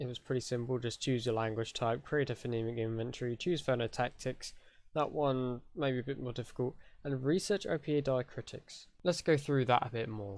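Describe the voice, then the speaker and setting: The audio is very clean, and the background is silent. A man talks with a British accent. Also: medium pitch for a man, ordinary pitch variation. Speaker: conlang tutorial youtuber. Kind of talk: tutorial. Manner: casual.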